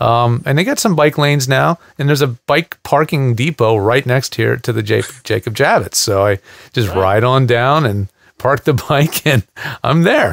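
With a quiet background and a dry sound free of echo, a man speaks at a moderate pace using lively intonation. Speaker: show host. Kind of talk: casual show chat narrating footage. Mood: cheerful, laughing. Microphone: headset.

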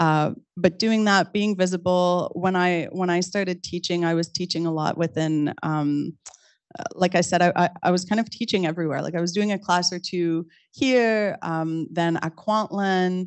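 A woman with a Quebec accent speaks at a fairly low pitch with fairly even intonation against a quiet background. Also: moderate pace. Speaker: artist and university lecturer; university lecturer. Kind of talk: panel discussion. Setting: stage with audience, also streamed on video call. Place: classroom.

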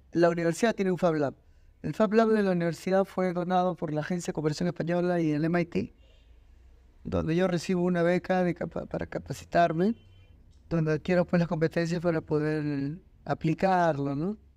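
A man talks at a moderate pace in a high pitch with a dark, mellow tone. His intonation stays fairly even. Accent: Peruvian. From Peru, Lima. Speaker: designer and university lecturer. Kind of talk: interview.

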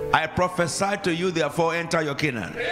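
Over crowd noise in the background, a man with a Nigerian accent talks in an animated tone at a high pitch. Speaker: preacher. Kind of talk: sermon. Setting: church. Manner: animated, commanding, call-and-response with the congregation. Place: church. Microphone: handheld.

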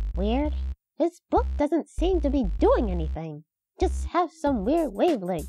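This is a cartoonish character voice that sounds female. It moves at a fairly slow pace. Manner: formal, stiff, matter-of-fact.

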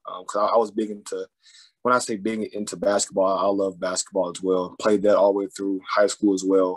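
Against a quiet background, a man with an American accent talks at a fairly quick pace and a fairly low pitch. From Arkansas, Fort Smith; Arkansas. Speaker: college football player; guest. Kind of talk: interview. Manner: halting. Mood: relaxed, humble. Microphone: video call.

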